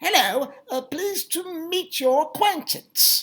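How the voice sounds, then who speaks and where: A woman puts on a character voice in a British accent, extremely high in pitch, with lively intonation and a fairly slow pace. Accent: British, put-on. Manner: polite, prim.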